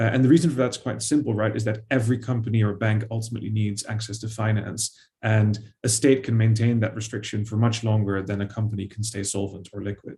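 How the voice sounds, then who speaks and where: A man with a Dutch accent talks at a very fast pace, his pitch fairly low and his tone dark and mellow. The delivery is somewhat breathy, with monotone, flat intonation. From Netherlands. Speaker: historian, author. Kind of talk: panel discussion. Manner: hesitant, many fillers.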